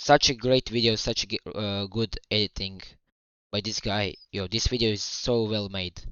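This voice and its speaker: Speaking with a non-native accent, a man with a fairly low pitch keeps his intonation fairly even. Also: moderate pace. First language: not English. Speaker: streamer reacting to a video. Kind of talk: live stream reaction. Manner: stuttering.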